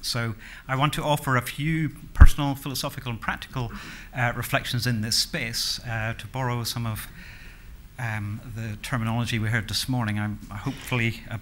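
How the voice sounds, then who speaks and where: Light background noise behind a man at a moderate pace, his intonation fairly even. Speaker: conference speaker. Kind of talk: lecture. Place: hall. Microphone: podium.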